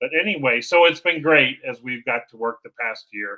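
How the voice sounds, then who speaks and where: A man speaks with a bright, sharp tone. His intonation is lively and his pace moderate. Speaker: domain podcast host. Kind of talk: casual chat. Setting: live stream with his daughter in the same room. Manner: loud.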